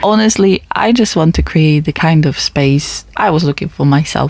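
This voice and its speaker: A woman with a Polish accent and lively intonation. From Poland. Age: 20s. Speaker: podcast host. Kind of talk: personal monologue podcast. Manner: casual, conversational.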